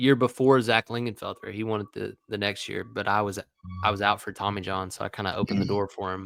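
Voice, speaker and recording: A man with an East Tennessee accent talks at a very fast pace in a fairly low, monotone, flat voice on a very clean recording with a silent background. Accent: Southern US (East Tennessee). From East Tennessee, Morristown. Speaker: former college baseball player, sports analyst. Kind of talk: casual chat.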